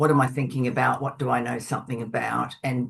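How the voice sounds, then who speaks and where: A woman's very deep, low voice with vocal fry and monotone, flat intonation. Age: 70s. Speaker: author and Buddhist practitioner. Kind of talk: webinar interview.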